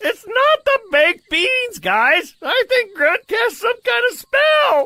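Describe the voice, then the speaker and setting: In a cartoonish character voice with an extremely high pitch, the speech moves at a fairly slow pace. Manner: stammering.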